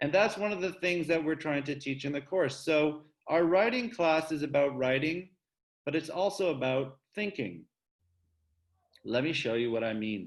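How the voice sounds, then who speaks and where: A man talks in an unremarkable speaking voice at a moderate pace. His pitch sits fairly high, and his intonation is lively. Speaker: writing teacher. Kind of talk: online class lecture.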